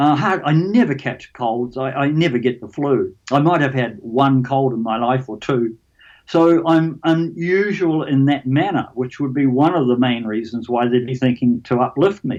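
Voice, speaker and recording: Over a quiet background, a man with a New Zealand accent speaks at medium pitch and a moderate pace. He uses ordinary pitch variation and hardly any pauses. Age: 70s. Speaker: alien abduction experiencer. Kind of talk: interview. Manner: halting, repeats words.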